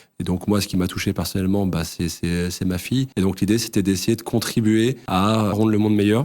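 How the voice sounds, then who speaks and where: A man's fairly low voice, fairly even in intonation, at a fairly quick pace with hardly any pauses, in a very clean recording with a silent background. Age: 30s. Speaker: real estate fund executive. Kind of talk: interview. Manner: hesitant, many fillers.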